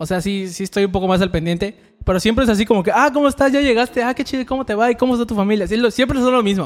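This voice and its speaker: A man speaks with ordinary pitch variation. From Yucatán, Mexico (Tekax). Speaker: podcast co-host. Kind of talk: casual chat.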